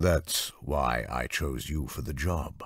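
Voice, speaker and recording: In a put-on character voice, a man speaks raspy and very deep at a fairly slow pace, on a very clean recording with a silent background. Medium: read story. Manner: smooth, self-assured.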